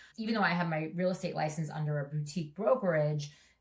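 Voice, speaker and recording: This woman speaks with a New York accent at a very deep, low pitch. Her pitch variation is ordinary. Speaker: real estate agent and investor. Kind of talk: podcast interview.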